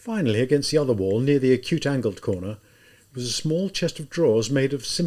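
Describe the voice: The reading aloud is plain, and its intonation moves in a lively way.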